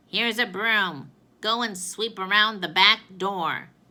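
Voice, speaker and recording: A woman's put-on character voice, medium in pitch and fairly slow in pace, on a very clean recording with a silent background. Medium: read story.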